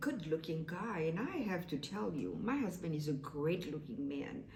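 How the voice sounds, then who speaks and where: A woman speaks with very wide pitch swings. The room echo is audible and background noise is noticeable. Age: 60s. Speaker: vlogger. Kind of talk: casual monologue. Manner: halting.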